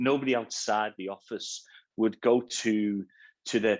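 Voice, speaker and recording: With a Liverpool accent, a man speaks at a moderate pace and fairly low pitch with fairly even intonation. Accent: Scouse. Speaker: cybersecurity awareness speaker. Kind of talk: webinar talk. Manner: halting, many repeated words.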